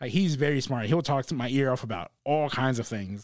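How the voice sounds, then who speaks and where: An ordinary speaking voice from a man with an American accent, medium pitch, ordinary pitch variation, fairly quick pace, very clean recording with a silent background. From South Texas, Corpus Christi. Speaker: comedian. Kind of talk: casual chat.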